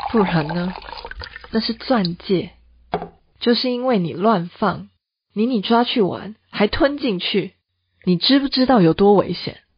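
Putting on a character voice, a woman talks at a fairly slow pace and medium pitch, with lively intonation and a husky, rough edge.

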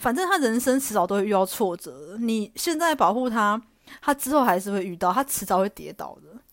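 With a fairly high pitch, a woman's voice makes very wide pitch swings and big swings in loudness. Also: fairly quick pace, very clean recording, silent background. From Taiwan, Taichung. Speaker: podcast host. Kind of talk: casual solo monologue.

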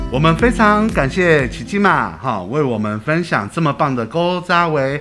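Over noticeable background noise, a man with a fairly high pitch speaks at a fairly slow pace in a cheerful tone with lively intonation. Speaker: podcast host. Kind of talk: podcast hosting and interview. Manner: cheerful, lively.

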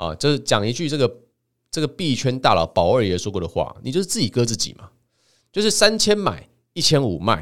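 A man talks at a fairly quick pace with very wide pitch swings. Vocal fry runs through his voice. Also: very clean recording, silent background. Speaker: podcast host and author. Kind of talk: solo monologue.

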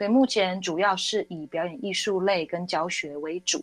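A woman talks with ordinary pitch variation while music plays in the background. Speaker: wedding singer. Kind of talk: casual interview chat. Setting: studio.

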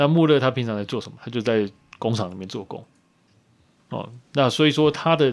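This man speaks at a fairly quick pace with long, frequent pauses and big swings in loudness. His pitch is medium, with ordinary variation. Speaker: women's football league organizer. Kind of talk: casual chat.

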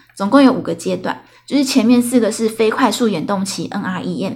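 This woman's fairly high voice carries vocal fry, ordinary pitch variation and a moderate pace. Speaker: podcast host. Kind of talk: casual solo storytelling monologue. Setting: solo recording late at night. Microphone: new recording equipment.

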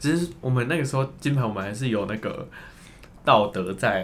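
This man's intonation is lively. He speaks at a very fast pace. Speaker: former student drama group leader. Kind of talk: casual chat.

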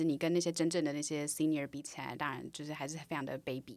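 In a Taiwanese accent, a woman with a very deep, low pitch talks very fast, her intonation fairly even. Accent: Taiwanese Mandarin. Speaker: product manager. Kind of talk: casual interview chat.

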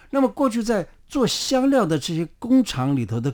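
The pitch of this man's speech rises and falls across a very wide range. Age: 70s. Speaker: traditional Chinese medicine doctor. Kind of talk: interview. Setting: studio.

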